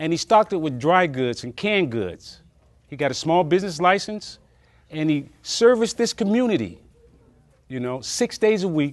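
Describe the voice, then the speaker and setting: At a moderate pace, a man speaks with a high pitch, very wide pitch swings and big swings in loudness. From Alabama-born, raised in California. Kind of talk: oral history interview answer. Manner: reflective, conversational.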